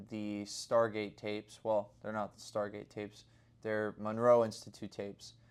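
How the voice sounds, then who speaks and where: In a very clean recording with a silent background, a man uses a plain, everyday voice at a medium pitch with fairly even intonation. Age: 20s. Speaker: day trader video diarist. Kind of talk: casual video diary to camera.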